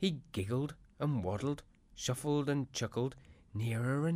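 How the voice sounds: Pitch varies in an ordinary way through this natural reading voice.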